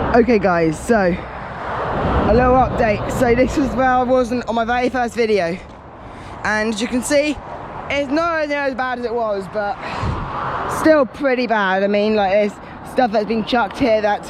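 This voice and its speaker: A loud man with a southern English accent, extremely high-pitched, ordinary pitch variation, fairly slow delivery, noticeable background noise. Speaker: litter-picking vlogger. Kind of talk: casual vlog narration. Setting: outdoors.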